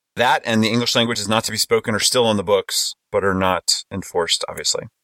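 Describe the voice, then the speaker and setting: A man speaks with an American accent and a fairly low pitch. His tone is bright and sharp, and the sound is dry and close with no echo. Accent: Texan, toned down in normal speech. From Texas. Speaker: podcast host, linguist. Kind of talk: casual roundtable chat. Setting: video call, virtual conference. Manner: playful, jokey.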